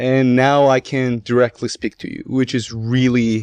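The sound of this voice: A man talks at a moderate pace and medium pitch, with vocal fry and a slightly mellow tone. His intonation stays fairly even.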